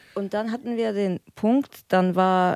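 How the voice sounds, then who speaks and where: Speaking at a very slow pace, a woman with a medium pitch and a dark, mellow tone sounds dry and close, with no echo. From Frankfurt. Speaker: recovering drug addict. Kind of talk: casual chat.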